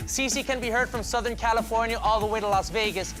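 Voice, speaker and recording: Very fast speech from a man over music in the background. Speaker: TV show host. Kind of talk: TV host introduction.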